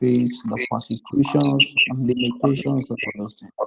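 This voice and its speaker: A man speaks at a fairly slow pace. His voice has vocal fry. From Nigeria. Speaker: podcast host, evangelist. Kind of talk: interview.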